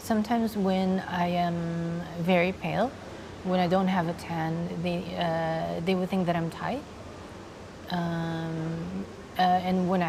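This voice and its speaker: A soft-spoken woman talks at a fairly low pitch with fairly even intonation. Audible room echo and noticeable background noise are present. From Philippines, Laguna province. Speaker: transgender woman and actress interviewed. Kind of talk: interview. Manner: hesitant, many fillers.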